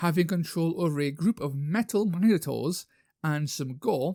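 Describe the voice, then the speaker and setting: A man with a northern English accent speaks at a high pitch in a dark, mellow tone, with lively intonation and a moderate pace. The recording is very clean with a silent background, and the sound is dry and close with no echo. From northern England. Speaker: YouTuber, wargaming hobbyist. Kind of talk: casual vlog talk. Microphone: new microphone.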